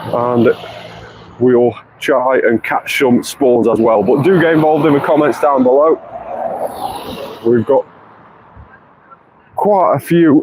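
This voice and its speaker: A fairly high-pitched man at a fairly slow pace, with ordinary pitch variation, very even loudness, long, frequent pauses and noticeable background noise. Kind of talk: live gameplay stream. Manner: animated.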